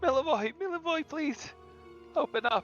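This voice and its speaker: Someone shouts in a put-on character voice at a moderate pace. Clear music plays in the background. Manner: screaming, pleading.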